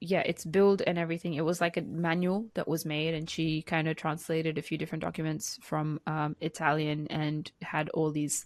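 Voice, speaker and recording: The sound is dry and close with no echo, over a quiet background. The pace is moderate. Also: woman. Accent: non-native. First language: not English. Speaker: podcast co-host. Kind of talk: casual podcast chat.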